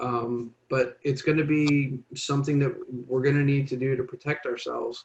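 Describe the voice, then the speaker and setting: A man's fairly high pitch stays in monotone, flat intonation. His voice is somewhat breathy. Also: moderate pace. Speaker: public health presenter. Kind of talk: informational presentation.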